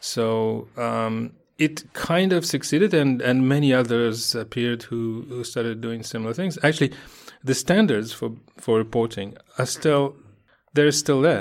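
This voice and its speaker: With a Russian accent, a man speaks at a fairly slow pace and a medium pitch, showing ordinary pitch variation. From Russia, Moscow. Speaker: journalist and editor. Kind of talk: interview answers. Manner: halting, many fillers.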